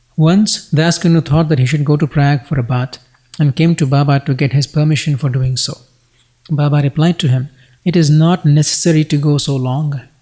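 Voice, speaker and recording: A man's fairly high, somewhat breathy voice with a dark, mellow tone, fairly even intonation, and a fairly quick pace. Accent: American. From United States. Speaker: devotional text reader. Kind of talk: religious scripture reading.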